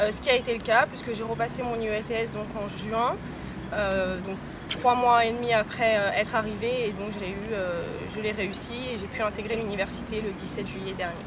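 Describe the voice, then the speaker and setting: A woman's fairly high voice at a moderate pace with fairly even intonation, with audible room echo and noticeable background noise. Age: 20s. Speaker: international student. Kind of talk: testimony interview. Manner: hesitant, many fillers.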